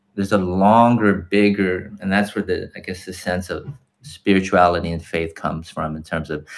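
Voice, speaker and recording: The recording is very clean, with a silent background. A man with an American accent speaks at a moderate pace. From Los Angeles, California. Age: 40s. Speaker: teacher. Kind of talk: casual chat.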